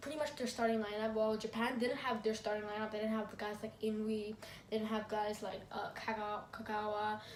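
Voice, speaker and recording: Over noticeable background noise and audible room echo, a woman speaks at a fairly quick pace and fairly high pitch, with hardly any pauses and fairly even intonation. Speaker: football review YouTuber. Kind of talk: casual vlog commentary. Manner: fast; halting.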